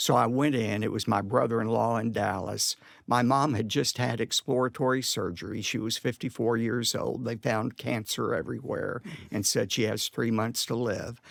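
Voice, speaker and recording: A man with an American accent speaks at a moderate pace in an unremarkable speaking voice, medium in pitch with fairly even intonation. The recording is very clean, with a silent background. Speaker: pastor and preacher. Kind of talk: personal anecdote in a conversational interview. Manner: emotional, reflective storytelling.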